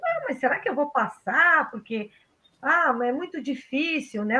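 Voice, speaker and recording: The voice is raised and projected, with a bright, sharp tone. Its intonation is lively and its pace moderate. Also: woman. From southern Brazil, rural Pelotas area. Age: 50s. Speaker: technical school teacher. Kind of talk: casual interview.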